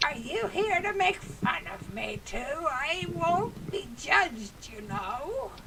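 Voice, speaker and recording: A female-sounding put-on character voice, high-pitched with very wide pitch swings, at a fairly slow pace over clear background noise. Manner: gruff, growling.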